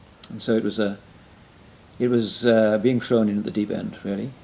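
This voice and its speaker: This man speaks with a Welsh accent. His tone is dark and mellow. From Wales. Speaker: retired pastor and church planter. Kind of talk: interview conversation. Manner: halting, many fillers.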